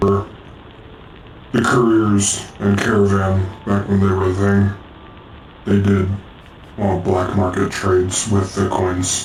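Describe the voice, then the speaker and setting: Doing a put-on character voice, a man speaks fairly slowly at a fairly low pitch in a monotone, flat intonation, with long, frequent pauses and clear background noise. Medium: game stream. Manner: blunt, challenging.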